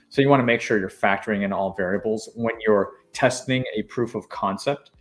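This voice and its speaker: A man at a very fast pace, fairly even intonation, faint music behind him. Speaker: government contracting coach. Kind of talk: live stream tutorial. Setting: live stream. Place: home room.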